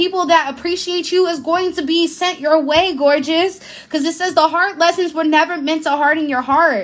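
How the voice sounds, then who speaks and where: At a moderate pace, a woman speaks with an extremely high pitch. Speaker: tarot reader and spiritual healer. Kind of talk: live-stream tarot reading. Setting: live stream. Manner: animated.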